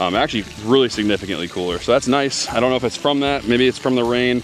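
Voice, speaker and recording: Ordinary pitch variation carries through noticeable background noise. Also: man. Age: 30s. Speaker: homesteading vlogger. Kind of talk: casual vlog talk to camera. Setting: outdoors by a pond. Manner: hesitant, many fillers and restarts.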